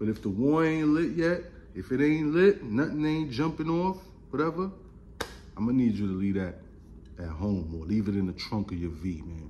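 Using very wide pitch swings at a moderate pace, a man speaks with long, frequent pauses over light background noise. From Brooklyn, New York. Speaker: gun YouTuber. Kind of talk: casual vlog monologue. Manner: animated. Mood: joking, opinionated. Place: home room. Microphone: phone near.

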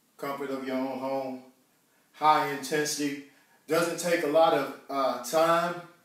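A man at a moderate pace, monotone and flat, with audible room echo and a quiet background. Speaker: fitness host. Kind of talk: live workout instruction. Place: home room. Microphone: camera far.

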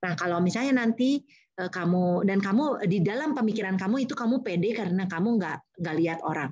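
With lively intonation and a medium pitch, a somewhat breathy woman talks at a fairly quick pace with hardly any pauses. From Indonesia. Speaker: university lecturer and public speaking trainer; university lecturer, public speaking trainer. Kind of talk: webinar talk. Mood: warm, encouraging. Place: home room. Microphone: video call.

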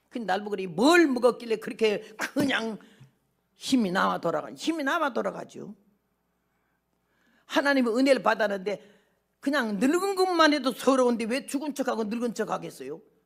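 Against a quiet background, the voice carries vocal fry and very wide pitch swings at a moderate pace, with long, frequent pauses. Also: woman, fairly high pitch for a woman. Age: 80s+. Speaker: missionary preacher. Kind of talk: sermon. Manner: animated. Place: church. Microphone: podium.

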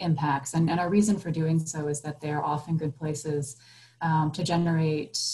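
A woman with a very deep, low voice speaks at a moderate pace in a monotone, flat intonation over light background noise. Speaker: panelist. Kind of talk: panel discussion answer. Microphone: video call.

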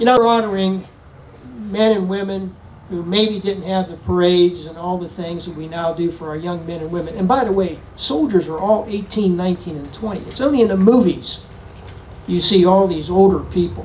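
The loudness swings widely while the pitch varies in an ordinary way. Light background noise can be heard. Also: man, high pitch for a man, moderate pace. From western Pennsylvania. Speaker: retired army general, speaker; speaker. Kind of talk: speech to audience. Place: tent. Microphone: podium.

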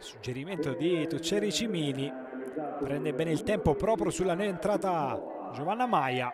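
With noticeable background noise behind him, a man speaks at a moderate pace in a high pitch with lively intonation. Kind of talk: live sports commentary over match highlights. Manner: emphatic, declamatory delivery with rising energy.

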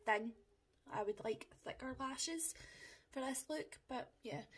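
At a very slow pace with long, frequent pauses, the speaker has a Scottish accent and ordinary pitch variation. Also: woman. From Scotland. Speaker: makeup vlogger. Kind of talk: tutorial. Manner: casual, chatty. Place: home room. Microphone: phone near.

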